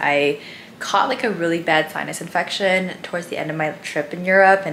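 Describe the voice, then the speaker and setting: A normal speaking voice from a woman, fairly low in pitch with ordinary pitch variation, over light background noise. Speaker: vlogger. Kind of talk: casual vlog chat. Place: home room.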